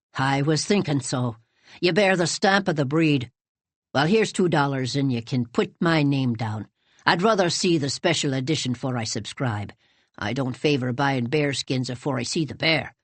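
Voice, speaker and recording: This is a gruff, put-on character voice in a low-to-middle pitch. It moves at a moderate pace. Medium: read story. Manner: gruff, blunt.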